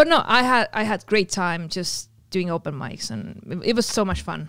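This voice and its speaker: There is vocal fry in this woman's medium-pitched voice, recorded very cleanly against a silent background. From Estonia. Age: 20s. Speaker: podcaster and performer. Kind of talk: casual chat. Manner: laughs a lot.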